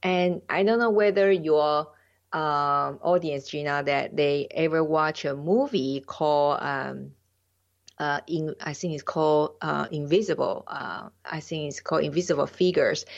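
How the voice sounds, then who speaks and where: Delivered at a fairly slow pace in a Taiwanese accent, the speech has ordinary pitch variation over a quiet background. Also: woman, very deep, low pitch for a woman. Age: 50s. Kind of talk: interview, personal story. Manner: halting, non-fluent.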